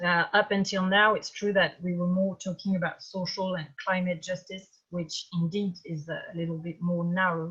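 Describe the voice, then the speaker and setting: A woman with a French accent, monotone and flat in intonation, at a moderate pace. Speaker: campaign organizer, activist. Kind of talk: webinar talk. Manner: halting.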